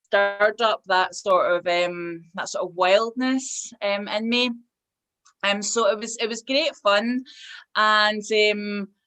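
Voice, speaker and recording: A woman with a Scottish accent, fairly high pitch and a bright, sharp tone, very slow pace and fairly even intonation. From Scotland. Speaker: hypnotherapist and tarot reader. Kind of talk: interview answer. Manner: hesitant, with many fillers.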